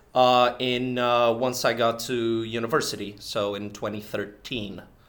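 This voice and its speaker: Audible echo fills the room around this man. His medium-pitched voice keeps fairly even intonation. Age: 20s. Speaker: podcast co-host, competitive card game player. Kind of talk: casual chat. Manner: halting, repeats words.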